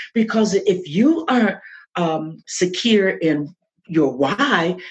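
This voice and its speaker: At a very slow pace, a woman speaks with a medium pitch and very wide pitch swings. Her voice is somewhat breathy. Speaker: podcaster and author. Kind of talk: interview answer.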